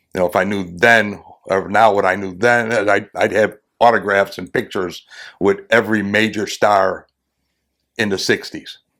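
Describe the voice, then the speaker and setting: Bright, sharp tone in a monotone, flat delivery at a moderate pace. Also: man, fairly low pitch for a man. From Chicago, US Midwest. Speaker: retired police officer. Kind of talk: interview storytelling.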